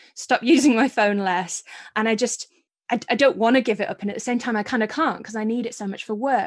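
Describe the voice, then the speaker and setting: The speaker has a Yorkshire accent and talks at a fairly quick pace with ordinary pitch variation. The background is quiet. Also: woman. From Yorkshire, Scarborough. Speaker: author. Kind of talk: casual interview chat.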